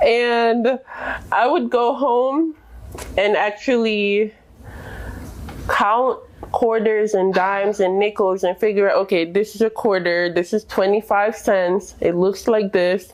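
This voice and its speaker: The speaker talks very slowly with long, frequent pauses, ordinary pitch variation and very even loudness over noticeable background noise. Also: woman, medium pitch for a woman. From Jamaica. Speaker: immigrant interviewee. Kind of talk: interview.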